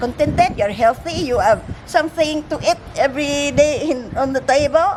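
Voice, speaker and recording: Against noticeable background noise, a woman speaks at a moderate pace with a high pitch and ordinary pitch variation. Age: 70s. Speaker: retired hospital worker. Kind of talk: casual chat.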